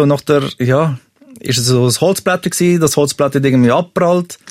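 In an unremarkable speaking voice, a man with a fairly high pitch speaks at a moderate pace with ordinary pitch variation and very even loudness, the sound dry and close with no echo. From Switzerland, Serbian family. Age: 30s. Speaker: podcast guest telling a confession. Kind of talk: personal confession story.

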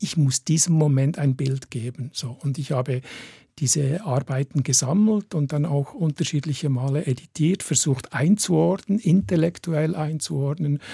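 In a dry, close sound with no echo, a man speaks fairly slowly at a fairly high pitch, somewhat breathy, with a dark, mellow tone and ordinary pitch variation. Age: 60s. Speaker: photographer. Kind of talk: radio interview.

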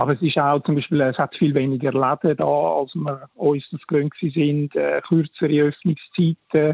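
A man speaks at a moderate pace with fairly high pitch. His intonation is monotone and flat. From Switzerland, canton of Zurich. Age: 50s. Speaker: architect. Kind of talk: radio interview. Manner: hesitant, many fillers.

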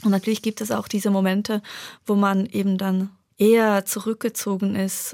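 In a very clean recording with a silent background and a dry, close sound with no echo, a woman with a Turkish accent talks at a fairly slow pace in a fairly high pitch. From Prizren, Kosovo; raised in Bern, Switzerland from age ten. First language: Turkish (speaking German). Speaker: novelist. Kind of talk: radio interview.

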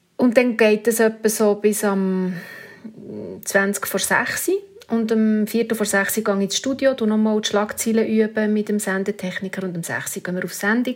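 A woman with a fairly high pitch talks at a moderate pace. Her intonation stays fairly even over noticeable background noise. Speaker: radio news presenter. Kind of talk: interview.

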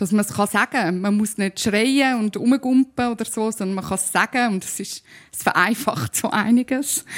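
A woman with a Zurich accent, fairly high pitch, ordinary pitch variation, moderate pace and big swings in loudness, in a dry, close sound with no echo. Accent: Zurich Swiss German. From Zurich, Switzerland. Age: 30s. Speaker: musician and spoken-word artist. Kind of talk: panel talk. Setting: live audience. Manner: hesitant with fillers.

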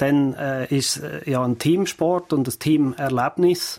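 A man talks in a fairly high pitch with fairly even intonation. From Switzerland, Fricktal (Aargau). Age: 50s. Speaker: entrepreneur. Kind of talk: interview. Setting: studio. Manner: halting, many repetitions and fillers.

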